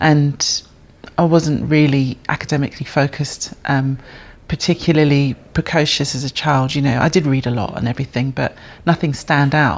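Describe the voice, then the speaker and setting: Spoken at a moderate pace with a London accent, the recording is very clean against a silent background. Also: woman. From North London, England. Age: 50s. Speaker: bass player and music educator. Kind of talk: interview. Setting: jazz centre venue. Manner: hesitant, many fillers.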